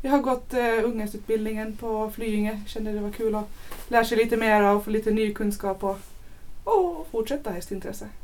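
A normal speaking voice from a woman, fairly high-pitched, with fairly even intonation at a moderate pace. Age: 20s. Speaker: show jumping rider. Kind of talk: casual chat.

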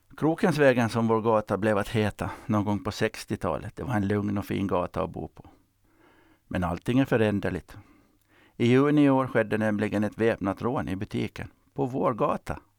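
A man's plain, everyday voice, fairly low in pitch with ordinary pitch variation at a moderate pace, dry and close with no echo on a very clean recording with a silent background. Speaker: retired sea captain. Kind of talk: scripted narration.

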